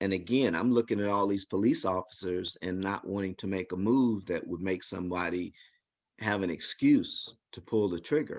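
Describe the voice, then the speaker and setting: In a normal speaking voice, a man talks at a moderate pace with a fairly low pitch and fairly even intonation against a quiet background. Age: 60s. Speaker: community member sharing personal story. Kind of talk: testimony.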